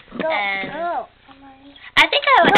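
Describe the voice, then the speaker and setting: Noticeable background noise behind a woman's voice. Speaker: YouTuber. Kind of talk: casual chat. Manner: proper, no slang.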